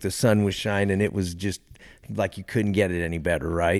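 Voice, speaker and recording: Speaking at a fairly quick pace, the man has an unremarkable speaking voice, fairly low in pitch, with fairly even intonation. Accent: American. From Texas. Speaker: bush pilot, physician and fishing lodge owner. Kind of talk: casual interview.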